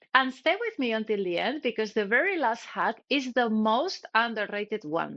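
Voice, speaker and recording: A woman with a non-native accent speaks at a fairly quick pace. Her pitch swings very widely over a quiet background. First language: not English. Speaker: cybersecurity educator. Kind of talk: tutorial. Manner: scripted, direct to camera.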